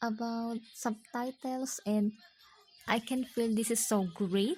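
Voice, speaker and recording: A woman with a non-native accent speaks at a very slow pace. Her fairly high pitch comes with very even loudness. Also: ordinary pitch variation. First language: not English. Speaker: video blogger. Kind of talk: monologue vlog. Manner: halting.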